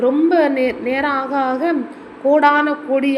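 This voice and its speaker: A woman speaks in a high, flat monotone. Noticeable background noise runs under her voice. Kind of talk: bedtime story. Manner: soft-spoken; casual storytelling.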